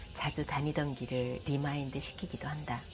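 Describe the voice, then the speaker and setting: A woman speaks in a calm tone. Music plays in the background. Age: 50s. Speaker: caregiver of her elderly mother. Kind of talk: vlog voice-over narration. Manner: calm, reflective.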